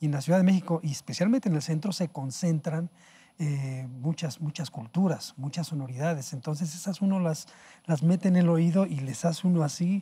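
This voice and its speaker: A man speaks at a fairly quick pace in a dark, mellow tone. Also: ordinary pitch variation. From Mexico City (historic centre). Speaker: jazz pianist and composer; guest. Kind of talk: interview. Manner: halting. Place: studio. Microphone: lapel.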